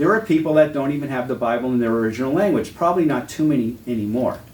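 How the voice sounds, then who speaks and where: A man speaks with an American accent, and audible echo fills the room. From New England, Massachusetts. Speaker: Bible teacher. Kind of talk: lecture. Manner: conversational.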